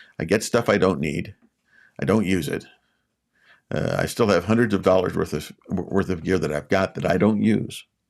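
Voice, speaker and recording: A man with a very deep, low voice speaks at a moderate pace with long, frequent pauses and ordinary pitch variation, in a very clean recording over a silent background. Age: 60s. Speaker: YouTube coach and public speaker. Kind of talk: live stream talk. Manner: repetitive, halting restarts.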